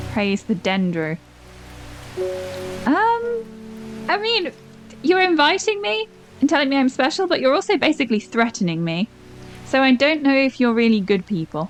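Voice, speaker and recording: Over music in the background, a woman with a high pitch speaks at a moderate pace, her pitch swinging very widely between long, frequent pauses. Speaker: gaming YouTuber. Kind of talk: casual talk to camera, gaming commentary.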